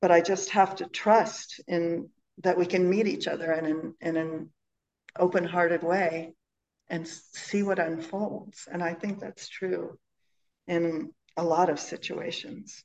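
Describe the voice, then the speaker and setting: A woman talks at a fairly slow pace in a plain, everyday voice. Her pitch is fairly low. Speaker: Zen teacher giving a dharma talk. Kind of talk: dharma talk. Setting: in person with audience and online viewers.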